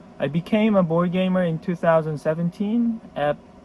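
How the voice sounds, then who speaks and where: A Korean accent with ordinary pitch variation. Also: man. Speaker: board game collector. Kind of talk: casual video introduction. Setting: storage room. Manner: halting.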